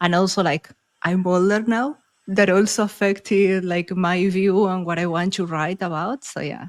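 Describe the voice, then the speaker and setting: Recorded very cleanly with a silent background and a dry, close sound with no echo, a woman talks at a medium pitch with a Spanish accent. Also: fairly even intonation, moderate pace. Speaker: author and podcaster. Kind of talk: casual interview chat.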